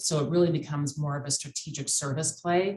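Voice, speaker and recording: With an American accent, a woman speaks at a fairly quick pace. Her pitch is very deep and low, and her intonation fairly even. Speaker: cyber insurance expert. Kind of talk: podcast interview.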